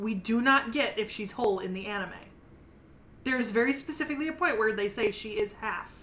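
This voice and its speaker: At a fairly quick pace, a woman speaks with fairly high pitch and ordinary pitch variation. Noticeable background noise runs underneath. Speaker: anime podcast co-host. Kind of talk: casual chat. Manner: comes across loud.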